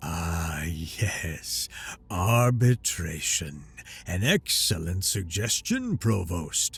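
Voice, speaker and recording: Using a put-on character voice, a man speaks at a very slow pace with a very deep, low pitch. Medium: read story. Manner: smug, commanding.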